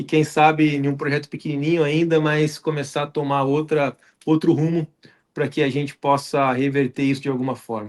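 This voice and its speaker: A man's fairly high voice at a moderate pace, monotone and flat in intonation. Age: 40s. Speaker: podcast host. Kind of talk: podcast interview. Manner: halting, many fillers.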